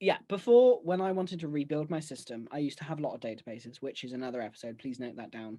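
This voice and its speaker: A man with a British accent, fairly high pitch and a dark, mellow tone, very fast with hardly any pauses, lively intonation and big swings in loudness. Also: quiet background. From UK. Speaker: podcast co-host. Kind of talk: casual chat. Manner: breathless. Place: home room. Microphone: video call.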